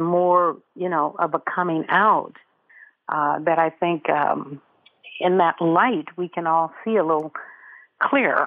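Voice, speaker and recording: A woman is speaking with an American accent. Her pitch sits fairly low. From US West Coast, South Central Los Angeles. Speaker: meditation teacher and author. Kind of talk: interview. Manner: halting.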